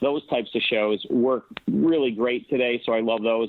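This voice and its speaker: This man has an ordinary speaking voice at a medium pitch. He talks fairly quickly, with ordinary pitch variation. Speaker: old-time radio producer, actor, director and syndicated radio host. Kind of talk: interview answer about old-time radio.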